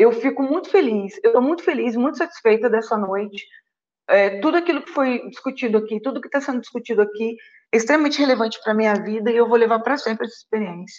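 Talking at a very fast pace, a woman speaks at a fairly high pitch. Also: ordinary pitch variation. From Rio de Janeiro, Brazil. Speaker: lawyer and doctoral researcher. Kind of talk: online panel discussion.

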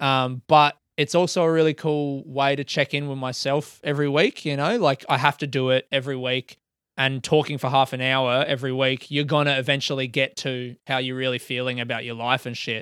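A man's medium-pitched voice in an Australian accent, monotone and flat, at a fairly quick pace, in a very clean recording with a silent background and a dry, close sound with no echo. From Adelaide, South Australia. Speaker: comedian. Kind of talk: casual chat. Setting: at home, bedroom.

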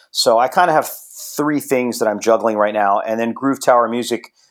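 In a very clean recording with a silent background, a man talks at a fairly quick pace. He has an unremarkable speaking voice, medium pitch and ordinary pitch variation. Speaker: drummer and music producer. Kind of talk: casual interview chat.

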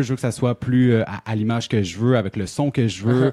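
Dry and close with no echo, a man's dark, mellow voice sits at a medium pitch. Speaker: radio host. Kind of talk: quiz reading; casual chat.

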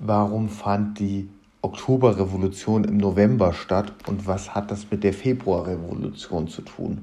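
A man's fairly low voice, fairly slow and with fairly even intonation. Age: 20s. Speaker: podcast host, history student. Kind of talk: podcast introduction monologue.

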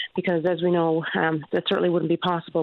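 In a Newfoundland accent, a woman speaks at a very fast pace with medium pitch and an upbeat tone. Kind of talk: radio interview. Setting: phone call.

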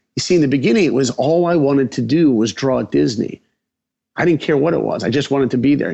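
Very fast and full of vocal fry, this voice has an American accent and lively intonation. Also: man. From Long Island, New York. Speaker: animation director. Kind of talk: interview storytelling. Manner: animated.

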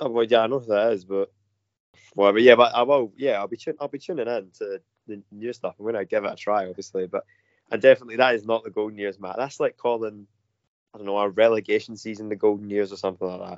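With a Glasgow accent, a man speaks at a medium pitch and a very fast pace, his intonation fairly even and his loudness swinging widely. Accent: Scottish (Glasgow). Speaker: football fan panellist. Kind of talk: casual chat.

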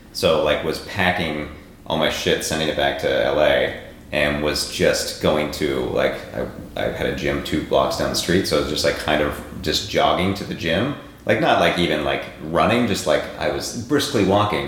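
A man is speaking in a room with audible echo. Noticeable background noise is also present. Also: moderate pace. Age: 30s. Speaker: podcast host. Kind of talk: casual interview chat.

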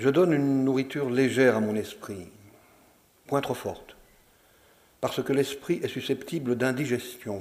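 The speech moves at a moderate pace with ordinary pitch variation. Long, frequent pauses appear throughout. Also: man. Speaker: actor reading texts aloud. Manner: formal, measured, with ironic, wistful lightness.

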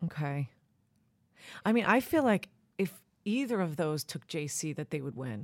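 A woman with a Long Island accent swings her pitch very widely, recorded very cleanly against a silent background. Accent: Long Island New York. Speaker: podcast host. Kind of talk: casual chat.

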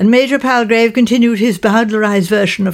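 The plain reading aloud keeps a fairly even intonation throughout.

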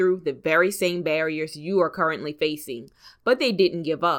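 At a moderate pace, a woman talks in an unremarkable speaking voice, fairly low in pitch with ordinary pitch variation. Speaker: podcast host. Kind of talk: podcast interview intro and conversation. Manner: upbeat, motivational.

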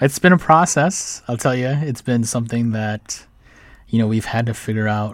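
With an American accent, a man talks in a normal speaking voice at medium pitch. His pace is moderate and his pitch varies in an ordinary way. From Minnesota, Saint Paul. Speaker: food business founder. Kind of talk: radio interview. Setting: studio.

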